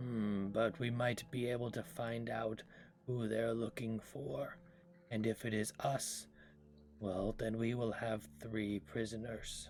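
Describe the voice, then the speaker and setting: In a raspy, put-on character voice, a man talks at a fairly slow pace and medium pitch, with ordinary pitch variation and very even loudness, over clear background noise. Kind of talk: formal fantasy diction. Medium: actual play. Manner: formal, measured.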